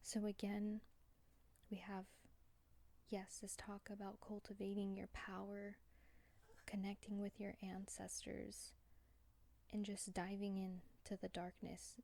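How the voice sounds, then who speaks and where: A quiet, somewhat breathy voice with a dark, mellow tone, monotone and flat, fairly slow, with long, frequent pauses. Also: woman, medium pitch for a woman. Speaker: tarot card reader. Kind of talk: pick a card tarot reading.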